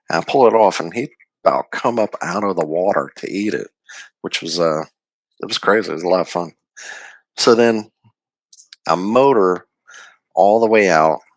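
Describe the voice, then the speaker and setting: Putting on a character voice, a man speaks quietly and raspily at a fairly low pitch and moderate pace, in a dry, close sound with no echo. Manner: speaking low and quiet.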